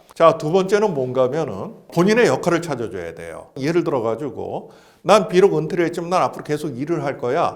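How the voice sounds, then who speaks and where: A man talks at a very fast pace with lively intonation, fairly high pitch, and vocal fry. Audible room echo surrounds the voice. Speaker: retirement planning expert. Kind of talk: interview talk, lecture-like advice. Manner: explanatory, structured.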